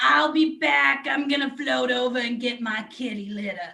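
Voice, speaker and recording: A woman uses a put-on character voice at a high pitch. Her intonation is lively and her pace moderate. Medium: stage play. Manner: brash, oversharing.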